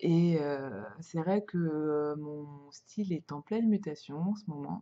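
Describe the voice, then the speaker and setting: A woman with a fairly low pitch and a dark, mellow tone speaks at a very slow pace. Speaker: podcaster on sewing and knitting. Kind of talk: casual podcast talk. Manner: hesitant, many fillers.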